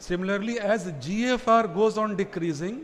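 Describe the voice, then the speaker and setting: A man speaks at a fairly slow pace in a high voice with lively intonation. Room echo is audible. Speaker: physician. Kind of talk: lecture.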